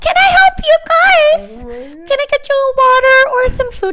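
In a put-on character voice, a squeaky, female-sounding speaker goes extremely high in pitch with very wide swings, at a moderate pace over light background noise. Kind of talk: casual, polite service talk.

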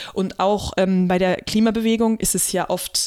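This woman has a plain, everyday voice, pitched medium for a woman, with fairly even intonation. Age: 30s. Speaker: podcast co-host and activist. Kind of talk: casual chat.

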